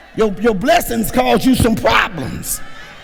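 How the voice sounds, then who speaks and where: A man with a high pitch speaks at a very slow pace, his pitch swinging very widely. Audible room echo and noticeable background noise fill the recording. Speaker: pastor. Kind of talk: sermon. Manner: animated.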